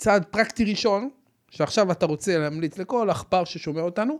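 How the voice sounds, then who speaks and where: The tone is animated, with lively intonation and a moderate pace. The recording is very clean, with a silent background. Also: man. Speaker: podcast host, financial advisor. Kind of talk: casual interview.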